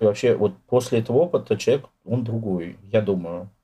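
A man's somewhat breathy, dark, mellow voice at a fairly quick pace. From Moscow, Russia. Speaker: poet and writer. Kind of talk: interview.

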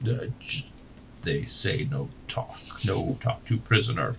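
Using a put-on character voice at medium pitch, a man speaks at a very slow pace. Clear background noise can be heard. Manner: slow, dim-witted.

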